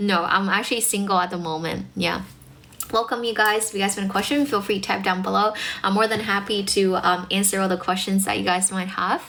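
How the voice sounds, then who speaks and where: Very fast, animated speech with audible room echo and noticeable background noise. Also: woman, medium pitch for a woman. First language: Mandarin Chinese. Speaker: English teacher and livestreamer. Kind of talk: livestream chat with viewers. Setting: livestream.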